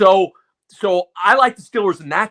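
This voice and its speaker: A man uses a raised, projected voice with a bright, sharp tone. The sound is dry and close, with no echo. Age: 60s. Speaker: sports commentator. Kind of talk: sports talk. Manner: animated.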